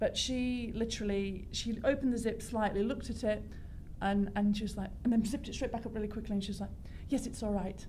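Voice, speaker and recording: Talking at a very fast pace with a South Yorkshire accent, a woman with a fairly high pitch is heard amid noticeable background noise and audible room echo. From northern England, South Yorkshire. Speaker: fashion designer. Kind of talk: talk show interview. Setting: radio studio. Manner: animated.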